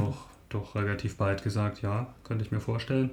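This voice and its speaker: A man speaks at medium pitch in a somewhat breathy, monotone, flat voice. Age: 50s. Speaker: mathematician and lay preacher. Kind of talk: casual chat. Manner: halting.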